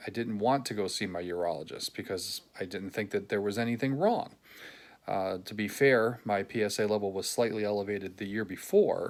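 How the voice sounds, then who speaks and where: A man speaks at a moderate pace with ordinary pitch variation and a fairly low pitch, on a very clean recording with a silent background. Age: 60s. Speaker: patient sharing experience. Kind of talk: personal video diary. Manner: halting, frequent fillers.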